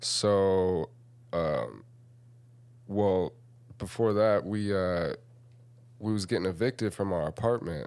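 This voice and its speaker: This man's fairly low voice moves at a very slow pace, broken by long, frequent pauses, with ordinary pitch variation. The recording is very clean, with a silent background. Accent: American. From Lincoln, Nebraska. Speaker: rapper and entrepreneur. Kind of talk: casual chat.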